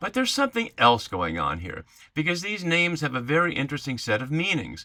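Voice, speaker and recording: This man's voice has a bright, sharp tone and vocal fry, and his pitch swings very widely. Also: very clean recording, silent background. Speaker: Bible teacher. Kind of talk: lecture. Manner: fast.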